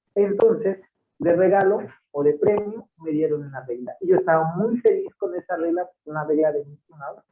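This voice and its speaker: Pitched high, a man with a Veracruz accent speaks with ordinary pitch variation. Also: moderate pace, big swings in loudness. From Mexico, Puebla state, Totonac village. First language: Totonac (speaking Spanish). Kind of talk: interview. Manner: hesitant, many repetitions and fillers.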